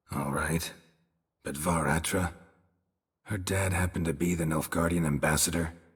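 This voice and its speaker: Using a put-on character voice with a very deep, low pitch, a man delivers a deadpan tone at a moderate pace with long, frequent pauses. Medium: video game. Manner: terse, dry, deadpan.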